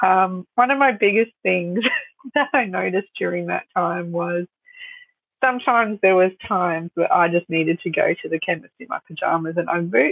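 A woman with an Australian accent talks at a moderate pace with lively intonation. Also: medium pitch for a woman. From Australia, Sunshine Coast (Queensland). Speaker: photographer and business owner. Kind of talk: interview.

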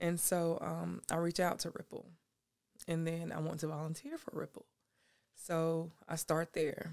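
In a monotone, flat delivery, a woman speaks fairly slowly at a fairly low pitch. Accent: Southern US. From South Carolina, Anderson. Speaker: youth mentor and nonprofit founder. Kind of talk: casual interview.

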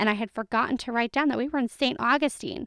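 A woman speaks in a normal speaking voice, fairly high in pitch, at a fairly quick pace with ordinary pitch variation. The recording is very clean and dry, with a close sound, no echo and a silent background. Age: 20s. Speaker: travel podcast host. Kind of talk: solo podcast monologue.

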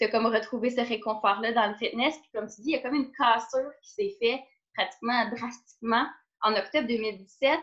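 Speaking at a fairly quick pace with a Quebec accent, a woman uses a fairly high pitch and big swings in loudness. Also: ordinary pitch variation. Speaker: podcast host and fitness trainer. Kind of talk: casual interview conversation.

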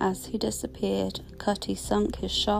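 Her pace is fairly slow. Noticeable noise fills the background as this woman talks. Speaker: storyteller. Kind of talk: scripted legend narration, spooky true-crime style storytelling. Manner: hushed, suspenseful, building dread; measured, dramatic pacing.

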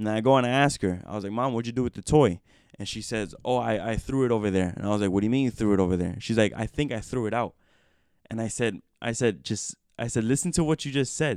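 A man at medium pitch, talking at a very fast pace with ordinary pitch variation. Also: very clean recording, silent background. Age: 20s. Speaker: podcast host. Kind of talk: casual chat. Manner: rambling, filler-heavy.

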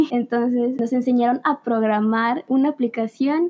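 A woman with a fairly high pitch speaks in a plain, everyday voice with fairly even intonation. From Veracruz, Mexico. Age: young. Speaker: engineering student. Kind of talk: podcast interview.

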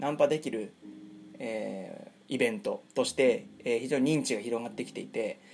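A man speaks at a moderate pace. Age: 30s. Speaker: podcast host, pickup artist. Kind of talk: monologue storytelling. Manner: many fillers (えー); polite, formal.

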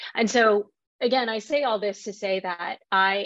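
Against a quiet background, a woman talks in a plain, everyday voice at a medium pitch, her pitch varying in an ordinary way. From Texas, Fort Worth. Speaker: marketing executive. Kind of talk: interview.

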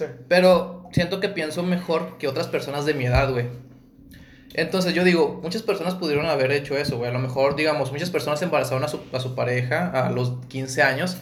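His voice carries audible room echo. The man moves along at a fairly quick pace. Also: fairly high pitch for a man, ordinary pitch variation. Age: 20s. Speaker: podcast co-host. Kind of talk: casual chat.

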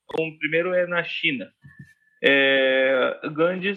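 A man talks with a high pitch that varies an ordinary amount. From India. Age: 30s. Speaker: Indian guest and tour host. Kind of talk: casual chat. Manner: halting, searching for words.

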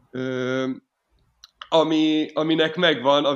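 A man talks at a very slow pace. His intonation stays monotone and flat. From Hungary, Miskolc. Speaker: folk punk band violinist, singer and manager. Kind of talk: casual interview. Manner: halting, many repetitions and fillers.

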